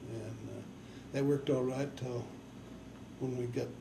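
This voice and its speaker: This man has an American accent and a medium-pitched voice with monotone, flat intonation. He talks at a fairly quick pace, and audible room echo can be heard. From Nebraska and northern Colorado, US. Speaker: farmer and army veteran interviewee. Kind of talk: oral history interview. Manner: halting, with many fillers.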